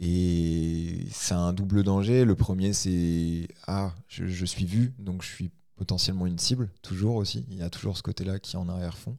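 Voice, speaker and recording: A very deep, low-pitched man speaks fairly slowly in a dark, mellow tone, in a very clean recording with a silent background. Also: ordinary pitch variation. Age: 20s. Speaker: gym manager and competitive boxer. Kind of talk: personal testimony. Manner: halting.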